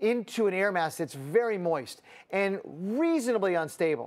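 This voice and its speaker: The speaker is a man with lively intonation. His tempo is medium. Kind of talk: weather forecast commentary. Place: studio. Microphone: lapel.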